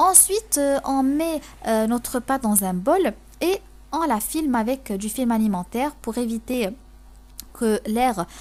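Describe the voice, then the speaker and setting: Delivery is very slow, with long, frequent pauses. The intonation stays lively. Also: woman, high pitch for a woman. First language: Moroccan Arabic (speaking French). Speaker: cooking youtuber. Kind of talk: cooking tutorial. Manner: halting, many fillers and repetitions.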